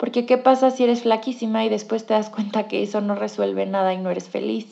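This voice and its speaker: Against a quiet background, a woman with a dark, mellow tone speaks at a fairly quick pace. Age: 20s. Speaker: clinical psychologist and podcast host. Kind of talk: casual monologue.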